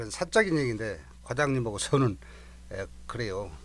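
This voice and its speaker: Medium in pitch and touched with vocal fry, a man's voice moves with lively intonation. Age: 60s. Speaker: retiring fire station chief. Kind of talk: radio interview.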